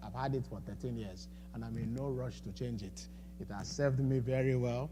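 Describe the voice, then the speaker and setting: A man speaks with audible room echo. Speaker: financial coach speaking at a church. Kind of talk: seminar talk. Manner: halting, with many repetitions and fillers.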